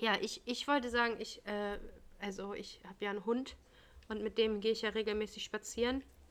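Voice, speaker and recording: This woman's voice sits at a fairly high pitch. She talks at a fairly quick pace with monotone, flat intonation. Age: 30s. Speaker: podcast co-host, daycare worker. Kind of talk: casual chat.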